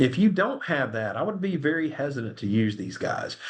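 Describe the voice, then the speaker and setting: Very wide pitch swings with an American accent. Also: man. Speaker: attorney presenting a webinar. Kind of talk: webinar presentation with Q&A. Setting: online webinar. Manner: fast; casual, animated.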